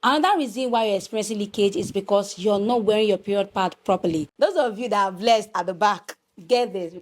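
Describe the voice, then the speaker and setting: This woman talks very fast with a Nigerian accent and hardly any pauses. Her pitch is medium, with ordinary pitch variation. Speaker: lifestyle vlogger. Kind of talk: casual vlog talk.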